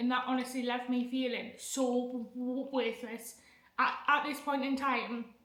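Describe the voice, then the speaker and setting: Speaking in a monotone, flat intonation, a woman with a high pitch talks at a fairly slow pace. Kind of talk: casual talk to camera. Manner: stammering, with sound repetitions; nervous, emotional.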